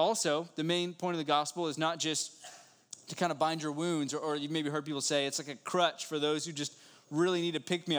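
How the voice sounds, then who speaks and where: Fairly high in pitch and with an American accent, a man talks at a fairly quick pace in a normal speaking voice with fairly even intonation. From West Virginia. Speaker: pastor. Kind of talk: sermon. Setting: church.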